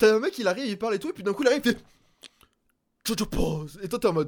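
Lively intonation is broken up by long, frequent pauses. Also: man. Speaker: co-host and technical operator. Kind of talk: casual chat. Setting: video call over Discord.

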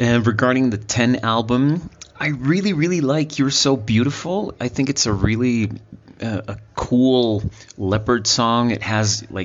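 A man talks with normal pitch movement while clearly audible noise sits behind him. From Mexico. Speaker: sound engineer and teacher. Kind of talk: voice message.

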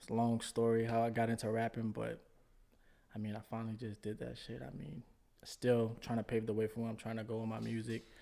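With a New Orleans accent, a man talks at a fairly quick pace in a medium-pitched voice with a dark, mellow tone. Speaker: rapper. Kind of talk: casual chat.

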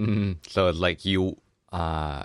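A man with a Thai accent and fairly even intonation, against a quiet background. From Thailand. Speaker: podcast host. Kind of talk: casual chat.

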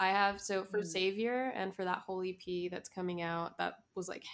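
A woman speaks in a Miami accent at a medium pitch. Her intonation is fairly even and her pace moderate. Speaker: musician. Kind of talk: casual interview chat. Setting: video call.

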